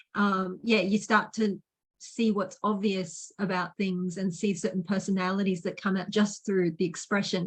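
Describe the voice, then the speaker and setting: A woman's somewhat breathy, medium-pitched voice, monotone and flat, at a fairly slow pace. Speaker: podcast host. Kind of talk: interview host talk.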